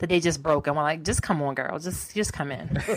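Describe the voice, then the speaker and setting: Over a silent background in a very clean recording, a woman has a plain, everyday voice with an American accent, a fairly low pitch and fairly even intonation. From Baltimore, Maryland. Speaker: media personality and tech entrepreneur. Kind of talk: podcast interview.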